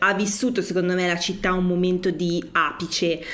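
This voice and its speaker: The woman's delivery is moderately paced. Background noise is noticeable throughout. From Milan, northern Italy. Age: 30s. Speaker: social media community creator. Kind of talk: casual chat.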